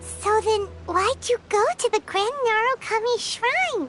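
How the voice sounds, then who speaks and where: A put-on character voice pitched extremely high speaks at a fairly slow pace over clear background music. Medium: video game.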